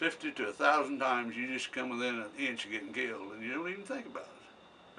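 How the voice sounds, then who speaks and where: A man speaks at a fairly quick pace, with noticeable background noise in the recording. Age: 80s+. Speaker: war veteran. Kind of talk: interview answer. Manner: conversational storyteller.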